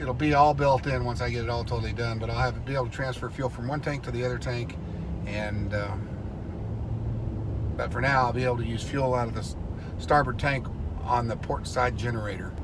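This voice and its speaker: A man at a fairly quick pace over noticeable background noise. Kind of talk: casual vlog chat. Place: car. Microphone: phone near.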